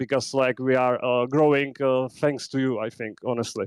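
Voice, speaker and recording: A man's medium-pitched, monotone voice in a Czech accent, with a dry, close sound and no echo. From Czech Republic. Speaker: podcaster, content creator. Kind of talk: call-in comment on live audio space. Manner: halting, many fillers.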